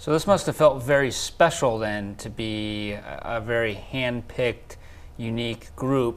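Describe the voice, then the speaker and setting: A man's normal speaking voice, medium in pitch with ordinary pitch variation, fairly slow, with big swings in loudness. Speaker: talk show host. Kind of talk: interview question.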